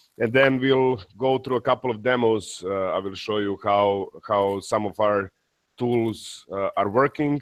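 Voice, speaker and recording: Here a man uses a normal speaking voice pitched in the medium range. He talks fairly slowly, with fairly even intonation. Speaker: industry expert presenting a webinar. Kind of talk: webinar presentation.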